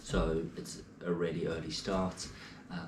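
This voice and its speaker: English accent in a flat monotone, with audible room echo. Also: man. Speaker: triathlete vlogger. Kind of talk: casual vlog. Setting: at home, early morning. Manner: quiet, talking softly.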